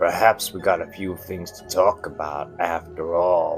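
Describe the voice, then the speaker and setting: Putting on a character voice, a man speaks very deep and low in a flat monotone at a moderate pace, with big swings in loudness and clear music in the background. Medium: read story. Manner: genial, smooth.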